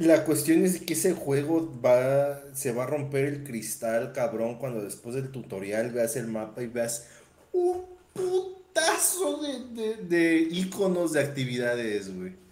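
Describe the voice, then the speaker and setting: Over noticeable background noise and audible room echo, a man talks at a very slow pace with lively intonation and a fairly high pitch. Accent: Mexican. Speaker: podcast co-host. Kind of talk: casual chat.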